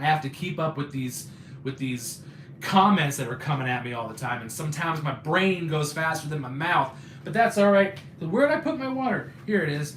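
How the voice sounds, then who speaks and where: A man with a fairly high pitch talks at a fairly quick pace. Audible room echo and noticeable background noise surround his voice. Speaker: YouTuber live streamer. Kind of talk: casual chat. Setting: live stream. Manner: fast; halting.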